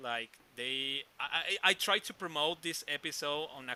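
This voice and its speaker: A man speaks in a Mexican accent with a bright, sharp tone. His pitch varies in an ordinary way, and the sound is dry and close with no echo. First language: Spanish. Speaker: podcast host. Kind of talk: interview. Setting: live video stream. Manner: halting.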